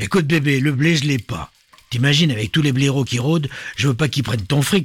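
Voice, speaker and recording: A man puts on a character voice, fairly high-pitched and rumbling. He delivers it at a fairly quick pace. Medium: read story. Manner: grumbling, coarse slang.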